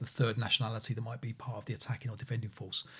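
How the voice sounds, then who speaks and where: Against a quiet background, a man talks in a somewhat breathy voice. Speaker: podcast co-host. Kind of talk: casual podcast discussion. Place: home room.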